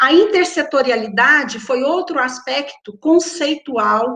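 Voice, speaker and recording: Her voice is a bright, sharp one, high in pitch for a woman, and the woman uses ordinary pitch variation. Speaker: researcher presenting public energy policy. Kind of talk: conference talk. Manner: hesitant repetitions.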